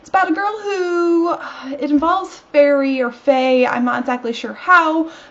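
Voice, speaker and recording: Over noticeable background noise, a woman talks at a moderate pace with a high pitch and lively intonation. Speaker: book vlogger. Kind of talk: casual talk to camera.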